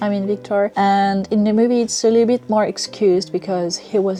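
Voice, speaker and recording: With music in the background, a woman speaks at a medium pitch and a fairly quick pace. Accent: French. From France. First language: French. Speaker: book and film reviewer. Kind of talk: casual vlog review.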